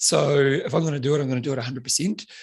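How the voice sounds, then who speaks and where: A man is speaking. His pace is fairly quick. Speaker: fitness instructor and author. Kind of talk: casual chat. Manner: fast; animated.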